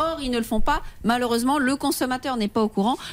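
Her pitch is high. The woman's pitch variation is ordinary. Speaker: lawyer. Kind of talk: legal advice on radio. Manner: formal.

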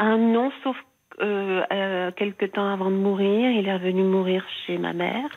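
At a very slow pace, a woman with a medium pitch speaks with fairly even intonation. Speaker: caller. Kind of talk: personal testimony. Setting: phone call.

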